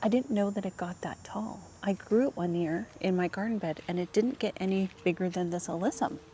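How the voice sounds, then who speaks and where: A fairly quick pace from a woman at a medium pitch. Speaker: lifestyle vlogger. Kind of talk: casual vlog narration to camera. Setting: outdoors in public gardens. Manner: animated.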